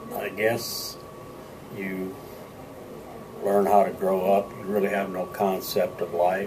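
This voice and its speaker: A man with an American accent, fairly low-pitched and monotone, speaking very slowly with long, frequent pauses amid audible room echo and noticeable background noise. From US Midwest, Moline, Illinois. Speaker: war veteran. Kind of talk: interview. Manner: halting.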